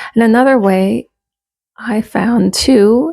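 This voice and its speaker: A woman's dark, mellow tone. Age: 40s. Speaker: self-improvement vlogger. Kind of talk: casual talk to camera.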